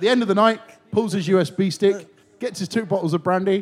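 The words come at a fairly quick pace, with noticeable background noise behind them. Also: man. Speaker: podcast host. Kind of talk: casual chat. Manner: showman-like.

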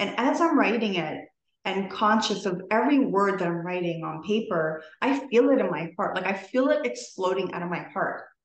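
Audible room echo surrounds this woman's voice. Her intonation is lively. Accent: Canadian. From Toronto, Canada. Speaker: podcast guest. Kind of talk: casual interview chat.

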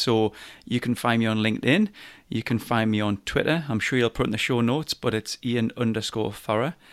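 With a Geordie accent, a man speaks at medium pitch and a moderate pace in a very clean recording with a silent background. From Newcastle, north-east England. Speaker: business coach and podcaster. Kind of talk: casual interview.

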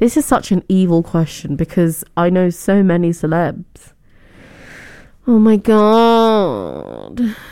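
A woman's medium-pitched voice with a British accent and a dark, mellow tone, at a very slow pace with ordinary pitch variation and very even loudness. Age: 20s. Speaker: student radio host. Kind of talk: casual radio chat. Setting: radio studio. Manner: chatty, animated.

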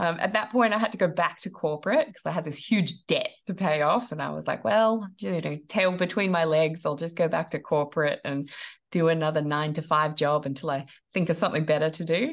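With an Australian accent, a woman speaks fairly quickly at a fairly low pitch, using ordinary pitch variation. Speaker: online business coach. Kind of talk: interview.

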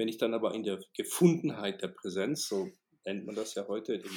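This man's pitch swings very widely around a medium level. He keeps to a moderate pace. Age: 50s. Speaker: motivational speaker and management trainer. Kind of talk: interview.

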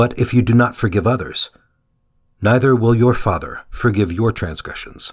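A man's somewhat breathy, medium-pitched voice at a moderate pace, with ordinary pitch variation, on a very clean recording with a silent background. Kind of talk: guided prayer meditation. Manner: fervent, devout, earnest prayer.

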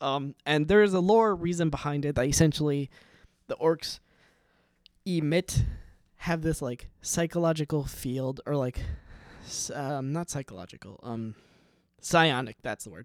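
A fairly high-pitched man talks at a moderate pace with ordinary pitch variation, big swings in loudness and long, frequent pauses, in a very clean, dry, close recording with a silent background and no echo. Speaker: solo podcaster. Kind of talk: casual monologue. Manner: halting, many fillers.

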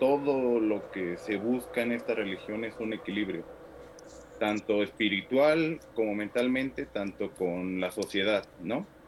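Here is a plain, everyday voice: a man at a fairly low pitch. He goes at a fairly slow pace with ordinary pitch variation. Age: 30s. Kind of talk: discussion.

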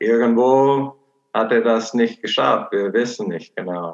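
A man speaks with an American accent. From Portland, Oregon, USA. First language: English (speaking German). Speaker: missionary. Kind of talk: personal testimony.

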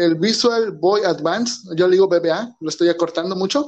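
Music plays behind a man speaking. His pitch is high, with ordinary variation. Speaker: podcast host. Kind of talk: casual chat. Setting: small home studio. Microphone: recording on phone.

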